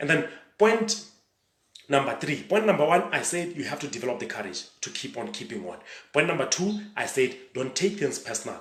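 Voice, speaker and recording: Audible room echo surrounds a man's voice. He moves at a moderate pace with very wide pitch swings. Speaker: motivational speaker and coach. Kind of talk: motivational talk. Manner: animated.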